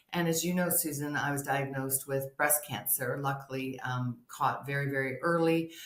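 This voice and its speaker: A woman's very deep, low pitch with ordinary pitch variation at a moderate pace, over noticeable background noise. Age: 60s. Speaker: hormone health and sex therapist. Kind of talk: interview testimony.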